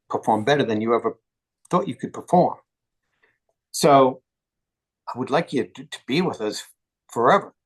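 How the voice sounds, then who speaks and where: Lively intonation marks this man's fairly high-pitched voice at a moderate pace. The sound is dry and close with no echo. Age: 60s. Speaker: retired football strength coach. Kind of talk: interview.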